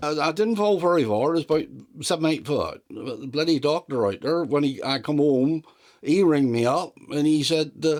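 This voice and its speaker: A man speaks with a West Country accent in a fairly high voice. His pace is moderate, and his pitch varies in an ordinary way. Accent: broad West Country. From South West England. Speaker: retired farm mechanic. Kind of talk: interview answer.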